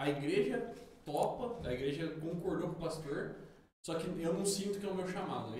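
With audible room echo around him, a man uses lively intonation at a moderate pace. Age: 30s. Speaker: podcast co-host. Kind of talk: casual chat.

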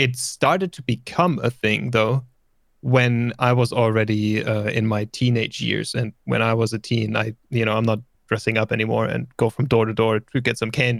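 A man with a German accent, moderate pace and fairly even intonation, in a dry, close sound with no echo. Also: medium pitch for a man. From Germany. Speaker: streamer and musician. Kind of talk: casual interview chat. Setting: remote call.

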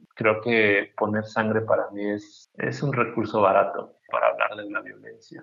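With hardly any pauses, a man speaks at a fairly slow pace while his loudness swings widely. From Mexico, Chiapas (Tuxtla Gutiérrez). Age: 30s. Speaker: painter. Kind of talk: interview. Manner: halting, many repetitions.

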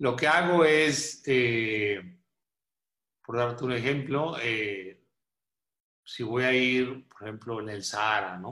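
A man's medium-pitched voice with a bright, sharp tone and ordinary pitch variation. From northern Mexico (Coahuila). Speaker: photographer and visual artist. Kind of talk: radio interview.

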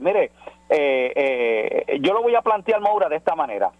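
A man speaks at a fairly quick pace in a high pitch, with a dry, close sound and no echo. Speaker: pastor. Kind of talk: radio interview by phone.

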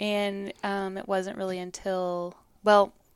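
This is a woman talking. Her pitch sits in the medium range. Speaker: singer-songwriter guest. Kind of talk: casual interview chat.

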